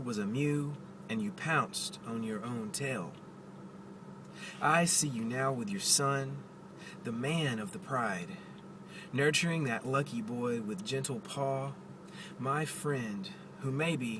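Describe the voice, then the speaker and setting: A man's medium-pitched voice at a very slow pace, lively in intonation and full of long, frequent pauses, amid audible room echo and noticeable background noise. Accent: Southern US. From US South. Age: 30s. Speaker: poet. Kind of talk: casual vlog; poetry reading. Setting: in a car. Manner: halting.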